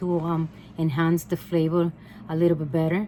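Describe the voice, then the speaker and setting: Speaking at a moderate pace with a Puerto Rican accent, a woman uses a fairly low pitch and a dark, mellow tone. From Puerto Rico. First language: Spanish. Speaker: home cooking vlogger. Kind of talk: cooking tutorial. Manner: halting, many filler ums; casual, conversational.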